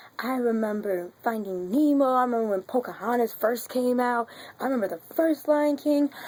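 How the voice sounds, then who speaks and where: A woman talks loudly at a moderate pace in a high-pitched, animated tone with ordinary pitch variation. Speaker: vlogger. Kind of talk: casual vlog.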